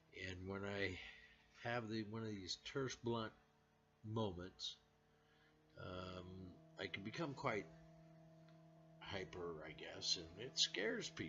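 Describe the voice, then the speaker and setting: A man with an American accent, fairly low in pitch, with lively intonation, a very slow pace and long, frequent pauses, over music in the background. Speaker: vlogger. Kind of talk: personal monologue. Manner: loud at times; blunt, terse.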